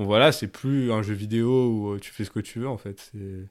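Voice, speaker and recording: A man in a normal speaking voice, at medium pitch with ordinary variation and a moderate pace, on a very clean recording with a silent background. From France, Grenoble. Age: 20s. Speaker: former activist. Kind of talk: testimony. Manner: casual with many fillers.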